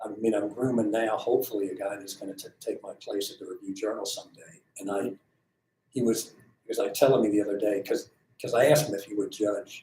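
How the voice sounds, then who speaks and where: Big swings in loudness run through a man's speech at a fairly quick pace. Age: 60s. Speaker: sports editor. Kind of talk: interview. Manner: halting, many repeats and fillers.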